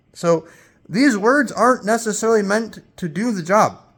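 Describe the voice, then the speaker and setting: A man talks loudly at a moderate pace on a very clean recording with a silent background. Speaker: spiritual teacher. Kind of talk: spiritual talk. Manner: emphatic.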